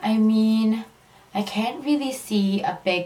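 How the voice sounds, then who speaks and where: Noticeable background noise sits behind the recording. Over it, a woman speaks at a very slow pace. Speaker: beauty vlogger. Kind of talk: casual talk to camera.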